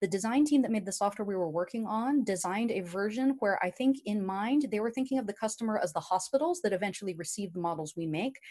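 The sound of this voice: Fast talk in a slightly mellow tone with ordinary pitch variation. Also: woman.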